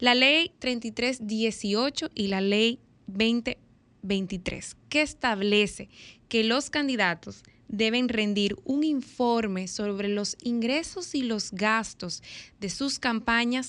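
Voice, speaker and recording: Against a quiet background, a woman speaks at a very slow pace. Her pitch is fairly high, with ordinary variation. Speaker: radio panelist. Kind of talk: casual chat. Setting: studio.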